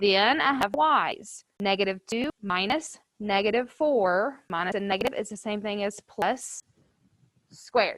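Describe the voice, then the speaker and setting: A woman with a normal speaking voice talks at a fairly slow pace. The sound is dry and close with no echo, and her pitch variation is ordinary. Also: medium pitch for a woman. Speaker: high school math teacher. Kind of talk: classroom lecture. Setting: classroom with students, also streamed to virtual learners.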